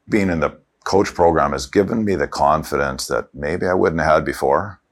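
This man speaks with a Canadian accent and vocal fry. His pace is moderate and his pitch varies in an ordinary way. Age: 60s. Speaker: financial advisor. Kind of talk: interview testimony.

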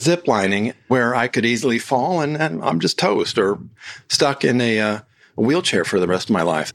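Very wide pitch swings and very even loudness in an American accent, at a moderate pace, on a very clean recording with a silent background. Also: man, medium pitch for a man. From United States. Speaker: podcast host and author. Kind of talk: solo podcast monologue.

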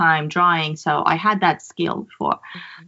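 Fairly slow in pace, the speaker has a Persian accent and fairly even intonation. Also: woman. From Iran. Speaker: photographer. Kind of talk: casual chat. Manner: halting.

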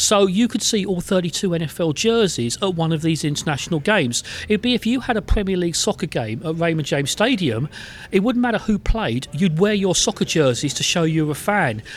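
A man with an English accent speaks at a high pitch with lively intonation. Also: fairly quick pace. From England. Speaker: sports journalist and football team historian. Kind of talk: interview. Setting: in person.

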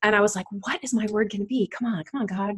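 Somewhat breathy and fairly high-pitched, a woman speaks at a very fast pace in an animated, warm tone with ordinary pitch variation. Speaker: podcast host. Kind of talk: casual interview chat.

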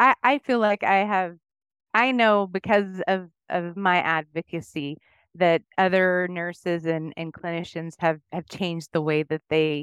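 Against a quiet background with a dry, close sound and no echo, a woman speaks slowly-ish in a normal speaking voice, fairly low in pitch, with ordinary pitch variation. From Oklahoma. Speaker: nurse and diabetes educator. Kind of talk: interview. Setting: remote call.

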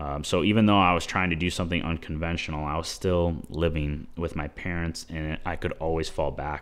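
A man in a Midwestern American accent with a very deep, low pitch, fairly even intonation and a moderate pace. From US Midwest (Chicago). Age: 20s. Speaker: filmmaker and entrepreneur. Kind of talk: casual interview.

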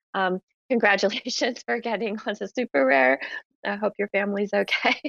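A woman's voice at a moderate pace, with vocal fry, very wide pitch swings, and a dry, close sound with no echo. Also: medium pitch for a woman. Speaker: head of creator relations, space moderator. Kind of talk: live audio chat hosting. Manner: frequent fillers and laughter.

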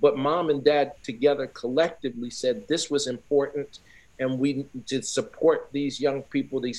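The man has an unremarkable speaking voice with a fairly high pitch and fairly even intonation, and he talks at a moderate pace. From Newark, New Jersey. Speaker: former pro football player and sports sociologist. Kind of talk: interview.

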